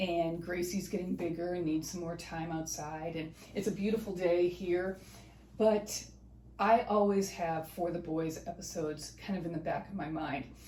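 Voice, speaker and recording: A woman speaks at a moderate pace with fairly even intonation. Hers is a normal speaking voice, fairly low in pitch. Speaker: family history channel host. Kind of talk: casual talk to camera.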